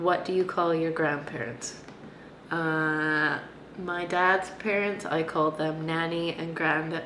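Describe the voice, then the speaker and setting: A woman with a Canadian accent, fairly low in pitch and very slow, with audible room echo and light background noise. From Canada; Vancouver. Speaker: vlogger. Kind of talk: casual talk to camera. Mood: relaxed, amused. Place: home room. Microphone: webcam.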